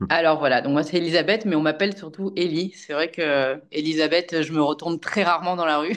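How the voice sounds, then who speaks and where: Using a plain, everyday voice, a woman talks at a fairly quick pace with hardly any pauses, her pitch fairly low and her intonation fairly even. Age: 40s. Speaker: amateur trail runner. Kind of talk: casual interview chat.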